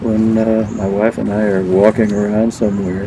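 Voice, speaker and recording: Monotone, flat intonation marks a man's fairly low-pitched voice at a fairly slow pace. Background noise is noticeable. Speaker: senior tennis player. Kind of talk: interview.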